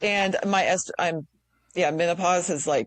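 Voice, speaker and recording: A woman talks at a fairly slow pace with ordinary pitch variation. It is a plain, everyday voice. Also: dry, close sound with no echo. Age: 50s. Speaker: podcast host. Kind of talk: casual chat.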